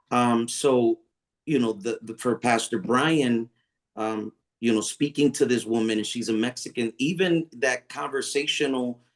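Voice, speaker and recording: A man at medium pitch speaks at a fairly slow pace with ordinary pitch variation, the sound dry and close with no echo. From US, Puerto Rican family. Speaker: pastor. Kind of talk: online panel discussion. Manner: halting, many fillers.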